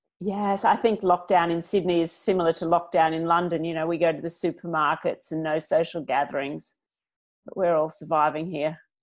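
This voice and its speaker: A woman with an Australian accent talks at a fairly quick pace, her fairly low pitch held in fairly even intonation against a quiet background. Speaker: business founder; interview guest. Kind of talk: interview; interview answer. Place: home room. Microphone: earbuds.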